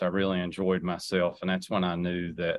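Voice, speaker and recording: A man's very deep, low voice in a monotone, flat delivery. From Southwest Virginia (Wise County). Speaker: political candidate. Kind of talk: radio interview.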